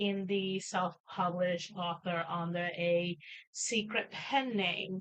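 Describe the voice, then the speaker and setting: A woman with a Puerto Rican accent speaks at a very slow pace. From Puerto Rico. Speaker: writer and streamer. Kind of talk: casual chat. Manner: halting, many fillers.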